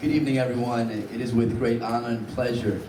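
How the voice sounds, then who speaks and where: Noticeable background noise and audible room echo accompany a man with a New Jersey accent who talks at a fairly quick pace and medium pitch. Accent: New Jersey American. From Hoboken, New Jersey. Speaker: school board candidate. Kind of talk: candidate forum statement.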